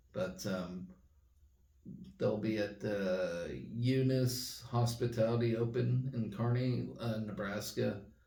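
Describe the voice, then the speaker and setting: A man's fairly low voice at a very slow pace, with ordinary pitch variation and audible room echo. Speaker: sports fan vlogger. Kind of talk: casual sports update monologue. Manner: quieter than usual; hesitant, many fillers.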